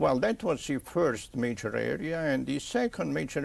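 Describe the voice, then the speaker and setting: A man speaks with an Italian accent. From Italy. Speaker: pathologist. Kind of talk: interview. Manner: halting.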